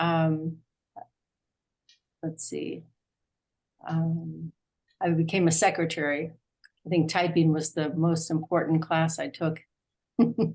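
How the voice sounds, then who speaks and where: The voice is somewhat breathy and monotone, with flat intonation and a very slow pace. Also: woman, fairly low pitch for a woman. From US, Arlington, Virginia. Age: 70s. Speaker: class participant. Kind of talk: personal introduction in online class. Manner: halting, many fillers.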